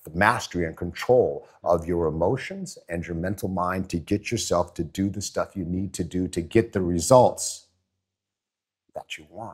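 In a very clean recording with a silent background, a man with an American accent and a very deep, low pitch speaks at a moderate pace, with ordinary pitch variation and big swings in loudness. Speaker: former football player, motivational speaker. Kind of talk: interview.

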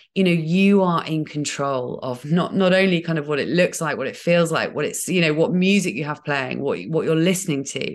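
Speaking with an English accent, a woman has a fairly low pitch and ordinary pitch variation. She keeps a moderate pace with hardly any pauses. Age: 40s. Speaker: podcaster. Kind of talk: casual chat. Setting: video call.

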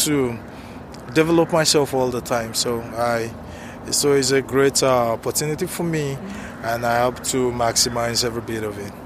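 Against noticeable background noise, a man talks at medium pitch and a moderate pace with fairly even intonation. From Africa. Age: 30s. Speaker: international student and business owner. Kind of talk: casual street interview. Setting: outdoors on a university campus. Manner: halting, with many fillers.

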